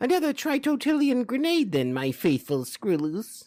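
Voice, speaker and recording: The speaker puts on a character voice at a fairly high pitch. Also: moderate pace. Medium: read story. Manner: giggly, grandiose.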